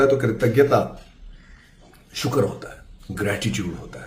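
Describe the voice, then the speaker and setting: Audible room echo around a man speaking with ordinary pitch variation. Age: 40s. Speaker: TV actor. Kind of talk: casual monologue. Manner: hesitant, with fillers.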